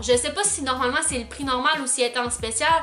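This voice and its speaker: A woman's raised, projected voice at a high pitch and a fairly quick pace, with music in the background. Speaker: beauty vlogger. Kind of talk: product review vlog. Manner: casual, chatty with many fillers.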